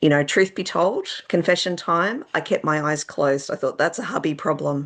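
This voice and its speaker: A woman with an Australian accent speaks in a fairly low voice. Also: ordinary pitch variation, moderate pace. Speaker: children's author. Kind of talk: interview. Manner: casual, hesitant with fillers.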